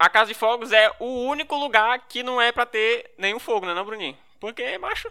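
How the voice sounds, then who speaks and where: A man speaks in an extremely high voice, raised and projected. His pace is fairly quick and his pitch varies in an ordinary way. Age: 20s. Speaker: podcast co-host. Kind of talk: casual chat.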